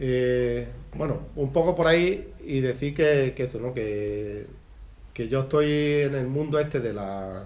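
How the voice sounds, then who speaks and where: A man's medium-pitched voice with an Andalusian accent and ordinary pitch variation, amid noticeable background noise and audible room echo. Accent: Andalusian with ceceo (Z for S). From Andalusia, Spain (Mijas, Málaga). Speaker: Andalusian language activist and speaker. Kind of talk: talk at book presentation. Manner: halting, many fillers.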